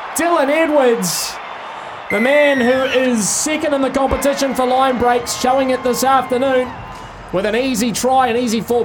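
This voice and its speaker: The speaker has a New Zealand accent, heard over noticeable background noise. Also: man. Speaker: rugby league commentator. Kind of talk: live sports commentary. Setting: live at stadium, broadcast on radio. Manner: fast, fluent play-by-play delivery, rising with big runs and breaks.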